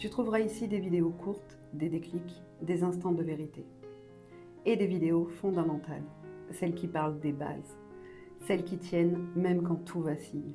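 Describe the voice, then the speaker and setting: Over music in the background, a woman with a fairly low voice speaks calmly and fairly slowly, her intonation fairly even and her pauses long and frequent. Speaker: mother. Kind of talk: personal voice-over to viewers. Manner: calm, measured.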